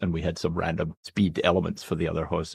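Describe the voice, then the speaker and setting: A man with a Scottish accent talks at a very fast pace in a flat monotone, his voice dry and close with no echo against a quiet background. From Scotland, Glasgow, west coast. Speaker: medical professor and geneticist. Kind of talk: podcast interview.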